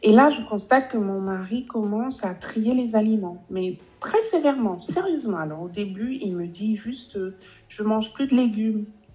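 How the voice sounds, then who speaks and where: A woman with a plain, everyday voice speaks at a moderate pace, fairly high in pitch and with lively intonation. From Guadeloupe. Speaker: relationship coach. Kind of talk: interview.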